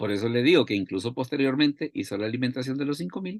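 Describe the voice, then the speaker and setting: At a very fast pace, a man speaks with lively intonation at a medium pitch. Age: 60s. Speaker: Bible teacher. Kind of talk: bible study talk. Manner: repetitive, halting.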